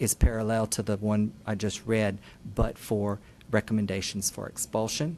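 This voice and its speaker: Fairly even intonation and a fairly low pitch shape this man's ordinary speaking voice at a moderate pace. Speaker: school district staff presenter. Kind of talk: formal presentation at board meeting. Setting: public board meeting. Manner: formal.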